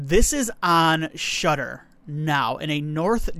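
A man's fairly high, bright, sharp voice on a very clean recording with a silent background. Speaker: movie podcast host. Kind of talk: casual solo podcast monologue, movie reviews.

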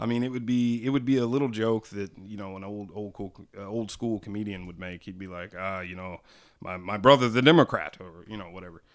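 With an ordinary speaking voice, a man talks at a fairly quick pace and a fairly low pitch, showing big swings in loudness in a very clean recording with a silent background. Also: ordinary pitch variation. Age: 30s. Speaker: podcast co-host. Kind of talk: casual chat.

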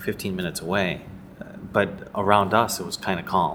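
This man has a plain, everyday voice, pitched fairly low. He talks at a fairly quick pace. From US Midwest, Chicago. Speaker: business owner. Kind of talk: interview.

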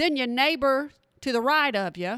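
A woman with a Texan accent speaks in a high voice and an animated tone, her intonation lively, the sound dry and close with no echo on a very clean recording with a silent background. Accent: Texan Southern US. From Texas. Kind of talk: casual chat, podcast monologue. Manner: animated, folksy.

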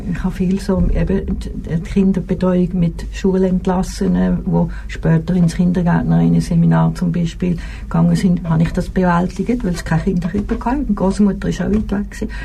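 Amid noticeable background noise and audible room echo, a woman talks at a moderate pace with hardly any pauses. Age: 70s. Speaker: retired nurse. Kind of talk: casual chat. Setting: studio. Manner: halting.

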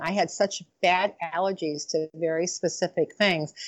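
A woman with an American accent speaks at a moderate pace. Her pitch is fairly low and her intonation fairly even. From Michigan, Detroit area. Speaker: chiropractor and lifestyle coach. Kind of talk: interview. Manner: halting, many fillers.

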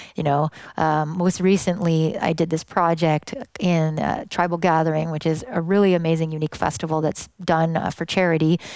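A woman with a plain, everyday voice at a fairly low pitch, fairly even intonation and a fairly quick pace, in a very clean recording with a silent background. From western Canada (British Columbia). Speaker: electronic music producer and vocalist. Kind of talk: casual interview.

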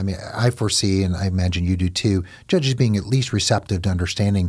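A man with a very deep, low pitch talks at a fairly quick pace, sounding somewhat breathy. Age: 50s. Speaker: divorce lawyer and podcast host. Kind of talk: legal advice podcast interview.

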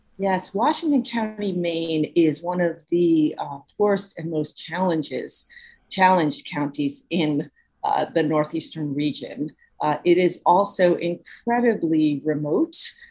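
With a plain, everyday voice and an American accent, a woman talks at a fairly slow pace in a fairly low pitch with ordinary pitch variation. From Brooklyn, New York. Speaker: author. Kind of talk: interview.

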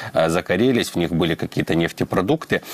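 A man's very deep, low voice comes through with a dry, close sound and no echo. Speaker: radio presenter. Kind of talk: news reading with map commentary.

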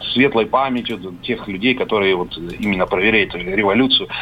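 Noticeable background noise accompanies a man of medium pitch who speaks with ordinary pitch variation. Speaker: caller. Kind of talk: phone-in reminiscence. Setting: phone call. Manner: halting.

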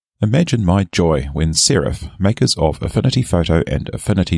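A man with a British accent speaks with lively intonation. The sound is dry and close with no echo, on a very clean recording with a silent background. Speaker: software reviewer. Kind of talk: software review, scripted reading.

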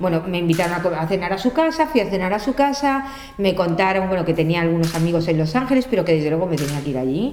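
With lively intonation, a woman talks very fast at a medium pitch amid audible room echo and noticeable background noise. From Spain. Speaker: makeup artist. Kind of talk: casual interview chat.

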